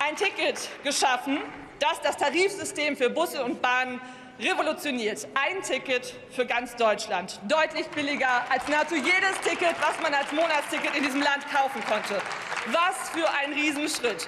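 A woman speaks in a raised, projected voice with ordinary pitch variation. Noticeable background noise runs behind her. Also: moderate pace. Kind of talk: parliamentary speech. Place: hall. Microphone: podium.

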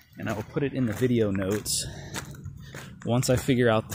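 The recording is dry, with no echo. Loud background noise runs throughout. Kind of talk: casual vlog commentary. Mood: mildly critical, explanatory. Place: open country. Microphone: phone near.

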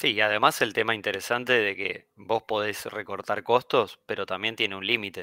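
A man with a Rioplatense accent, fairly low pitch and a bright, sharp tone, monotone and flat at a moderate pace with hardly any pauses, in a very clean, dry, close recording with no echo and a silent background. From Argentina. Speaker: finance commentator. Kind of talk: casual chat.

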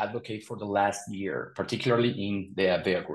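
A man talks at a fairly quick pace. Behind him, the background is quiet. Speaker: conference speaker. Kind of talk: conference talk. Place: home room. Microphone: webcam.

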